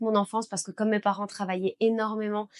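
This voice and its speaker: A woman's medium-pitched voice comes across monotone and flat, the sound dry and close with no echo. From Belgium. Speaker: beauty business owner and trainer. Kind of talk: personal story vlog.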